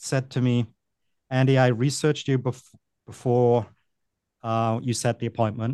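With a Welsh accent and a dark, mellow tone, a man talks at a moderate pace at medium pitch, leaving long, frequent pauses, in a dry, close recording with no echo. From Wales. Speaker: vacation rental business consultant. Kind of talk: casual interview.

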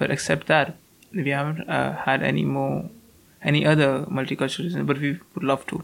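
Noticeable background noise accompanies a delivery that moves fairly quickly. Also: man. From North India. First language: Hindi. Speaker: university student. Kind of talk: casual interview.

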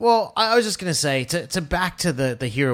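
The background is silent and the recording very clean. Words come at a rather quick clip. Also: man. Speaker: finance podcaster and website founder. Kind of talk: casual chat.

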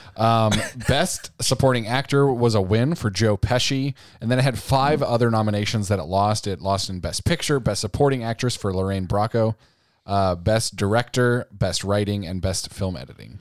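The recording is very clean with a silent background, carrying a man's ordinary speaking voice at fairly low pitch, moderate pace and ordinary pitch variation. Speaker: podcast co-host. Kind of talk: casual banter.

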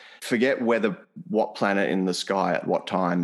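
A man with an Australian accent and a very deep, low pitch. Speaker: podcast host. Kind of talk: interview.

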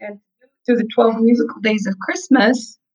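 A woman's normal speaking voice, fairly high in pitch with ordinary pitch variation. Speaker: pianist, singer and business coach. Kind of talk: casual interview.

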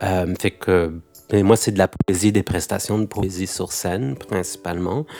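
Music plays in the background behind a man with a very deep, low pitch. He speaks at a fairly slow pace with ordinary pitch variation. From France, Algerian heritage. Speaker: poet and stage performer. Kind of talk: interview.

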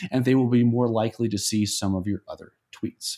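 A man at a moderate pace and medium pitch, a plain, everyday voice, on a very clean recording with a silent background. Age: 30s. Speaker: early retiree and blogger. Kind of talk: casual interview.

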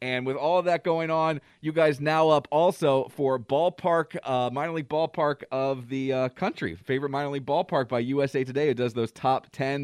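A man with a fairly high pitch and an ordinary speaking voice talks with hardly any pauses, the sound dry and close with no echo over a quiet background. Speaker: radio host. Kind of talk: radio DJ patter, morning show banter. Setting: radio studio. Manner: upbeat, chatty, quick-paced with jokes and laughter.

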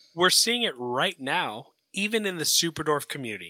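A man with an American accent speaks at a moderate pace and fairly high pitch, his bright, sharp tone carrying lively intonation in a very clean recording with a silent background and a dry, close sound with no echo. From Florida. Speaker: reptile breeder. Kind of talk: casual chat.

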